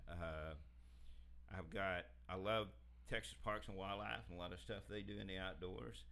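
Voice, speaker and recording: A man speaks at a moderate pace in a very deep, low pitch with vocal fry. His pitch swings very widely, and he leaves long, frequent pauses. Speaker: industry worker about to retire. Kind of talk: casual interview chat.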